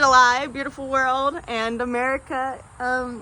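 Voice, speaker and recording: A woman's raised, projected voice, high in pitch, with a bright, sharp tone. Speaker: vlogger. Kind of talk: personal vlog monologue. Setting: outdoors in forest. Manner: casual, halting with fillers.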